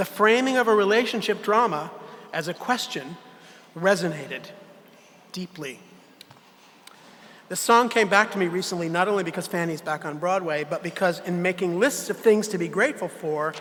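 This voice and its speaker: A man with an American accent talks at a moderate pace in a high pitch with ordinary pitch variation, leaving long, frequent pauses, amid noticeable background noise. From US Northeast, Connecticut (Hartford suburbs). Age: 70s. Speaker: theatre artistic director. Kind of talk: farewell speech. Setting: gala stage with audience. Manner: reading prepared remarks.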